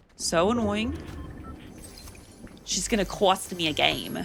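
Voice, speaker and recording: A woman speaks in an American accent with a medium pitch and vocal fry. Her intonation is fairly even. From Oregon, US. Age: 20s. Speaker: gaming streamer. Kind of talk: casual chat while gaming. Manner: casual, rambling with fillers.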